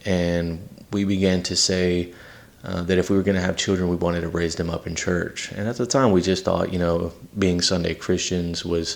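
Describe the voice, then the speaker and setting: In a Southern US accent, a man talks in a monotone, flat way at a very deep, low pitch. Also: moderate pace. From Texas (San Antonio, Victoria) and Louisiana. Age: 30s. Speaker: podcast host. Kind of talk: personal testimony. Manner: casual with many fillers.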